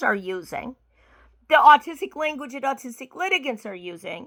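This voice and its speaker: In a very clean recording over a silent background, a woman speaks in a raised, projected voice. Her pitch is high with very wide swings, and her tone is bright and sharp. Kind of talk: casual talk to camera.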